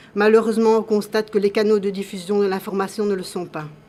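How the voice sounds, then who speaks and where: Over noticeable background noise, a woman talks in a monotone, flat intonation. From Belgium. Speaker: patient association president. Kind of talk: formal testimony. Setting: public hearing. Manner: formal.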